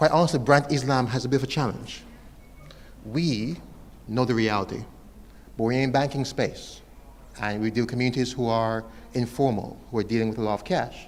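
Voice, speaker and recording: A man's medium-pitched voice at a fairly quick pace, with ordinary pitch variation, long, frequent pauses and audible room echo. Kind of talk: conference presentation. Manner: fast.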